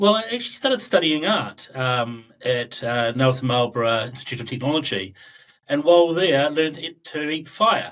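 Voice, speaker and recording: Very wide pitch swings mark this man's fairly high voice, in a New Zealand accent. He keeps a moderate pace. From southern New Zealand. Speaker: data analytics expert. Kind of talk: interview podcast.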